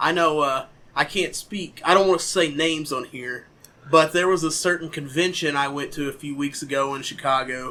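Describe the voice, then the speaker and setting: In a Southern US accent, a man talks at a fairly high pitch with fairly even intonation. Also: moderate pace. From southern Missouri. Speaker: podcast host. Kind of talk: casual chat.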